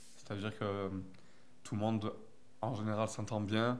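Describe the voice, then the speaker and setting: A man with a fairly low voice talks at a moderate pace, and audible room echo surrounds him. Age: 20s. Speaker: film school student. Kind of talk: interview.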